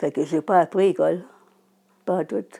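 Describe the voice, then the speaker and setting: In a very clean recording with a silent background, a woman talks at a fairly low pitch with a dark, mellow tone. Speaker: adult learner with low literacy. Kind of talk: personal testimony. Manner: halting.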